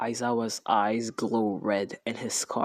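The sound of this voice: The clip features an unforced reading voice.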